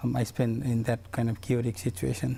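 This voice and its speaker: This man has a medium pitch and a dark, mellow, somewhat breathy tone. He talks at a moderate pace with monotone, flat intonation. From Bhutan, raised in Nepal refugee camp. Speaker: community engagement coordinator. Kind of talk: TV interview. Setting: TV studio.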